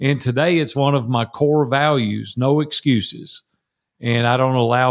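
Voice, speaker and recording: A man speaks with a Tennessee accent at a medium pitch. The recording is very clean, with a silent background. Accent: US Southern (Tennessee). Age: 60s. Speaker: entrepreneur and mastermind coach. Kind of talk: interview conversation.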